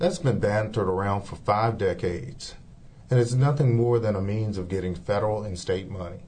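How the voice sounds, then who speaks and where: At a fairly quick pace, a man speaks with a fairly low pitch and ordinary pitch variation. His tone is dark and mellow, and somewhat breathy. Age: 50s. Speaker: city council candidate. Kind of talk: interview.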